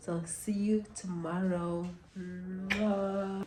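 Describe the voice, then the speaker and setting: A woman speaks with a Jamaican accent. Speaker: cooking vlogger and mom. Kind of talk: casual vlog cooking tutorial. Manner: chatty, informal.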